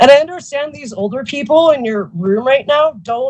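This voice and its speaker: Very wide pitch swings run through this woman's high-pitched voice. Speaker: public commenter at county meeting. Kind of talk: public comment. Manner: agitated, emotional.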